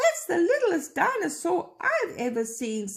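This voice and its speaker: In a squeaky put-on character voice, a woman speaks at an extremely high pitch with very wide pitch swings at a moderate pace. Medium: read story.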